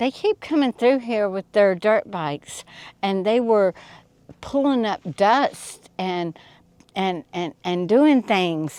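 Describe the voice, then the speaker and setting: A woman with a Southern US accent talks at a very slow pace, medium in pitch with lively intonation, on a very clean, dry, close recording with a silent background and no echo. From US South. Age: 60s. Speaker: off-grid desert resident. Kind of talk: interview. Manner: animated.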